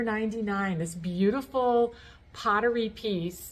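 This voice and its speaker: A woman's voice is fairly high and somewhat breathy. Her pitch varies in an ordinary way. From New England. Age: 60s. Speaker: thrift reseller vlogger. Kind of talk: casual vlog narration. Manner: chatty, with fillers.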